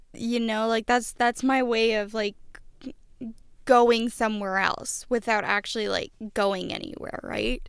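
A plain, everyday voice from a woman, fairly high in pitch, at a fairly slow pace with fairly even intonation. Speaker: podcast co-host. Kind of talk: casual chat. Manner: rambling, tangential.

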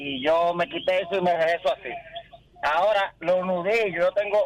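Noticeable background noise sits behind a man's voice, recorded dry and close with no echo. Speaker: caller. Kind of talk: casual chat. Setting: phone call.

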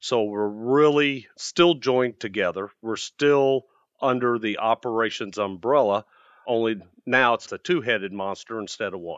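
A man speaks at a moderate pace and medium pitch with ordinary pitch variation. His is an unremarkable speaking voice. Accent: American. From US Midwest. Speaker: maintenance executive. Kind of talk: casual interview.

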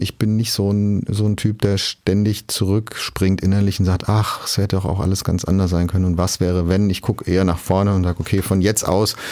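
Speaking at a fairly quick pace, a man uses a fairly low-pitched voice with a dark, mellow tone. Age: 40s. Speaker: media executive. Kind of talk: interview.

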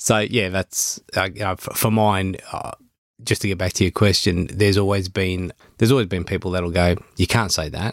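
A man with an Australian accent, a very deep, low pitch, fairly even intonation and a moderate pace, in a dry, close sound with no echo. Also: very clean recording, silent background. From Melbourne, western suburbs, Australia. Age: 40s. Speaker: real estate business owner. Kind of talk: casual interview chat.

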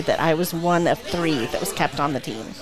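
Over music in the background, a woman with an American accent talks at a fairly quick pace and a fairly low pitch. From Southern California (Diamond Bar). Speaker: children's museum director. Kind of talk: casual chat.

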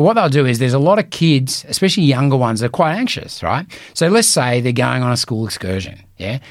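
A man with an Australian accent at a medium pitch, very fast pace, hardly any pauses, and lively intonation. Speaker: real estate coach. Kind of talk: solo podcast talk. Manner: casual, conversational.

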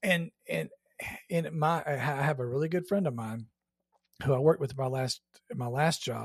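On a very clean recording with a silent background, a man with an American accent speaks at medium pitch and a fairly quick pace, somewhat breathy, with ordinary pitch variation. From Georgia, US South. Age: 50s. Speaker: podcast host. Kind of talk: casual interview chat.

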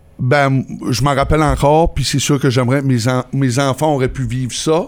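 With long, frequent pauses, a man talks at a moderate pace, medium in pitch and fairly even in intonation. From northern New Brunswick, Canada (Campbellton area). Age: 30s. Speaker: car dealership owner. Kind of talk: casual interview.

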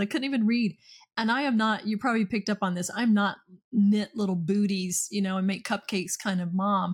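A very cleanly recorded woman's voice, fairly high and somewhat breathy, with an American accent over a silent background. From US Deep South, Okefenokee Swamp area (south Georgia). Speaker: dental business coach and CEO. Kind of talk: podcast interview.

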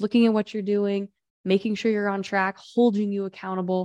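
Against a quiet background, a woman with a normal speaking voice talks at a medium pitch and a fairly quick pace, with fairly even intonation. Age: 30s. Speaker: business coach. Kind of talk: interview.

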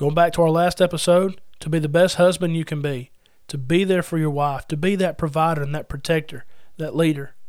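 A man with a normal speaking voice, fairly high in pitch, talks at a fairly quick pace with fairly even intonation. The recording is very clean, with a silent background. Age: 30s. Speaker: podcast host and preacher. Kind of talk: sermon-style Bible teaching podcast.

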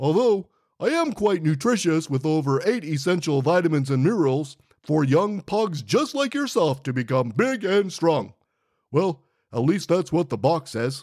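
A man speaks in a cartoonish character voice, fairly high-pitched for a man, on a very clean recording with a silent background. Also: moderate pace. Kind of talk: comic kids' cartoon voice. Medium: audio drama. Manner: chatty, cheeky, upbeat.

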